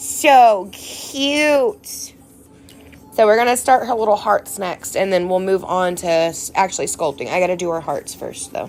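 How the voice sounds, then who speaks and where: With music in the background, a woman with an American accent speaks at a fairly slow pace, her medium pitch carried by lively intonation. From Texas. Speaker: nail art crafter streamer. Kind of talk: casual live stream chat. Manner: animated.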